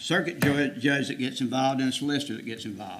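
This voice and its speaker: A man with a South Carolina accent at a very fast pace, with audible room echo. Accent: US Southern (South Carolina). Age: 70s. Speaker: citizen addressing county council. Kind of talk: public comment speech. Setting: county council meeting.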